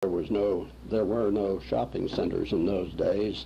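A man with a very deep, low voice and vocal fry talks at a moderate pace in an American accent. His pitch swings very widely, and light background noise is present. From Pittsburgh, Pennsylvania. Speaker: family elder telling history. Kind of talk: oral family history recording. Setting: cassette tape recording. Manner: hesitant, many filler words. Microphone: old recording.

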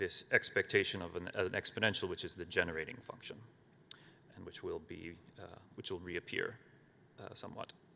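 There is light background noise behind this man as he speaks. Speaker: conference presenter. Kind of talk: lecture. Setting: stage with audience. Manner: halting. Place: hall. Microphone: podium.

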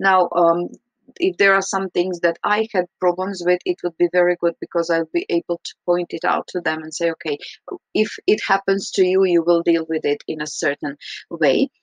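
A woman talks at a moderate pace in a fairly low voice with fairly even intonation. The sound is dry with no echo over a quiet background. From Croatia. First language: Croatian. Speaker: English teacher. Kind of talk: recorded reflection. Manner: hesitant, frequent fillers. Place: home room. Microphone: webcam.

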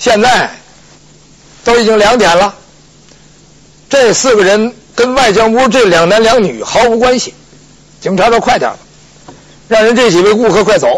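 Noticeable background noise accompanies a man speaking at a high pitch and moderate pace. His pitch varies in an ordinary way, and he makes long, frequent pauses. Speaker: pingshu storyteller. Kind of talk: pingshu storytelling performance of a legal case. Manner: lively, colloquial, humorous storytelling.

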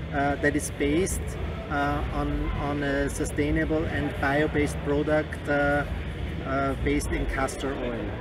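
A man speaks at a moderate pace in a dry recording with no echo, though loud background noise runs underneath. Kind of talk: interview answer. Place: hall. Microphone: handheld.

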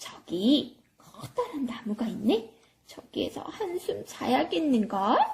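This female-sounding voice is a cartoonish character voice pitched high. It moves at a fairly slow pace. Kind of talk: children's church puppet show. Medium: puppet.

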